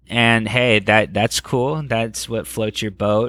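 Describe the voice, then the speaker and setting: A man speaks in an ordinary speaking voice, fairly low in pitch, at a moderate pace. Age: 20s. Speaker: rock singer. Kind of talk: casual chat.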